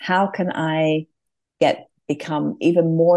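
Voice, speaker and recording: Someone speaks with an English accent over a quiet background. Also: woman. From England. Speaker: design firm leader. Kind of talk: interview.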